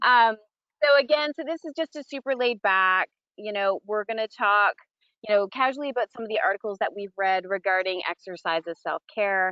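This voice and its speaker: A woman speaks at a fairly quick pace. Her fairly high voice has lively intonation. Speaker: nurse health coach. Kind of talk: casual chat. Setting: outdoors. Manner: fast.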